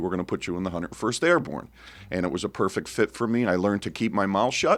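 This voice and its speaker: A plain, everyday voice: a man with an American accent, fairly low pitch, ordinary pitch variation and a fairly quick pace, in a very clean recording with a silent background. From Connecticut, later Cape Cod, Massachusetts. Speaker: business owner, army veteran. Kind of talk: radio interview.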